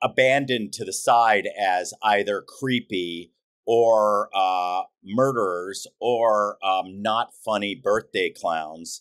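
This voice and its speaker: Using ordinary pitch variation, a man with an American accent speaks at a very slow pace. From US, Los Angeles. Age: 60s. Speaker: clown director and author. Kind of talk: interview conversation. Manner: hesitant, many fillers.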